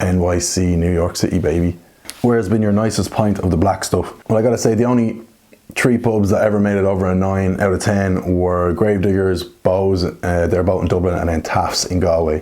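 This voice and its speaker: Over noticeable background noise, a man with an Irish accent speaks at a fairly quick pace in a very deep, low voice with very even loudness. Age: 20s. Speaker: Guinness reviewer and YouTuber. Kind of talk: casual Q&A monologue. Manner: casual, animated.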